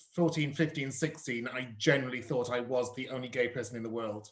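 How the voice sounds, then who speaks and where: This man has a medium pitch and a slight Cardiff accent. He keeps a moderate pace and fairly even intonation. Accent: slight Cardiff twinge. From South Yorkshire. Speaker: drag performer and host. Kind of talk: casual interview. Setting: online live stream. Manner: loud.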